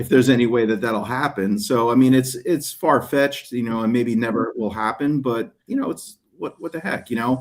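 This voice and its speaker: The speaker has a slight New Jersey accent and ordinary pitch variation. The pace is moderate, with hardly any pauses. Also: man, medium pitch for a man. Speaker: detailing YouTuber and soap maker. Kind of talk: casual interview chat. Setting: video call from a hotel room.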